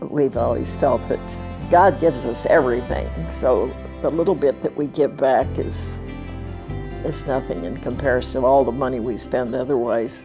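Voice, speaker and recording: Moderate-paced female speech over music in the background. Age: 80s+. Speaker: Bible translation donor. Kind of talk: interview answer.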